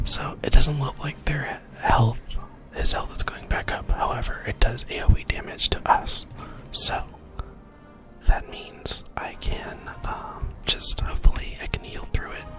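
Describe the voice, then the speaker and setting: Whispering from a man at a fairly slow pace, with big swings in loudness and music in the background. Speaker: gamer, ASMR creator. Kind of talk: whispered gameplay commentary. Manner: whispered.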